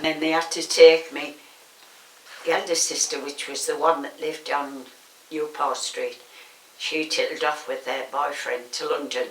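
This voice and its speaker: A woman with a Teesside accent at a moderate pace, with long, frequent pauses and noticeable background noise. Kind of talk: oral history interview answer.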